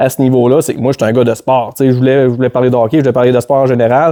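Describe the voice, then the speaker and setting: Heard in a dry, close sound with no echo, a man speaks at a medium pitch with a dark, mellow tone. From Quebec, Beauce (Saint-Zacharie). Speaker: hockey play-by-play commentator. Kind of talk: casual chat.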